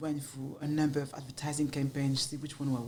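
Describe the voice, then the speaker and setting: In a French accent, a woman speaks very fast in a very deep, low voice with monotone, flat intonation, and the room echo is audible. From France, Paris. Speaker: marketing agency founder. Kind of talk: podcast interview.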